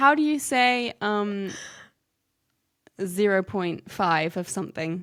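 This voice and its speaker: Speaking at a very slow pace with long, frequent pauses, a woman uses a medium pitch and lively intonation in a very clean recording with a silent background. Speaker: podcast co-host. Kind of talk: casual chat.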